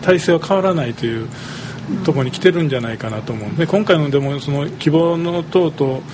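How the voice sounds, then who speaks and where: A man with a Kyoto accent talks at a fairly quick pace and a fairly high pitch. His pitch varies in an ordinary way, and there is noticeable background noise. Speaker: third-generation business owner. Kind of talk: casual chat.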